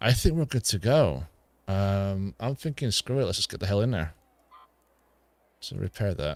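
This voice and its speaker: Mumbling speech comes at a moderate pace with long, frequent pauses and very wide pitch swings. The recording is very clean, with a silent background and a dry, close sound with no echo. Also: man, fairly low pitch for a man. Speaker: gaming streamer. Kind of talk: live gameplay stream commentary. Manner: casual, thinking aloud.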